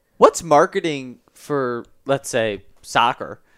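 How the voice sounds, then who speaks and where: A man's medium-pitched voice with lively intonation, dry and close with no echo, on a very clean recording with a silent background. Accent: American. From Chicago. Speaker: college sports podcast host. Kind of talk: interview podcast.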